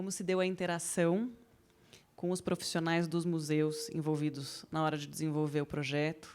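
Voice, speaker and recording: A woman talks with a very deep, low pitch. Her pace is moderate. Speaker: moderator of architecture talk. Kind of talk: panel moderation.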